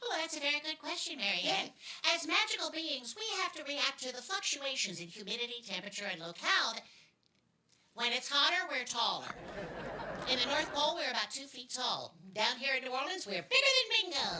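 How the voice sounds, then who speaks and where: A put-on character voice with a high pitch. It moves at a fairly quick pace. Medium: stage play. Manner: dry, deadpan, sly.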